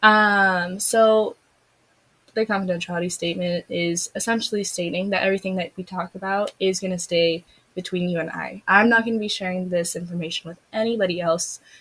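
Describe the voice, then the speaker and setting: A woman talks at a fairly quick pace. Her medium pitch stays fairly even. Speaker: therapist in a practice role-play. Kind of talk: role-played therapy session. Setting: in-person session. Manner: fast.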